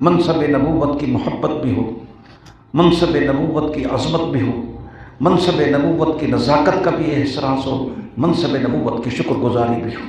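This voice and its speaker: The man's pitch is fairly high. Audible room echo and noticeable background noise are in the recording. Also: ordinary pitch variation, moderate pace. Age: 70s. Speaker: Islamic scholar and hadith teacher. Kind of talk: religious speech. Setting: speech at a religious course gathering.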